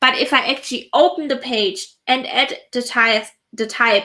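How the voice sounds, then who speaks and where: A woman speaks in a raised, projected voice, high in pitch, with a bright, sharp tone. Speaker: productivity software consultant. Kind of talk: live stream tutorial.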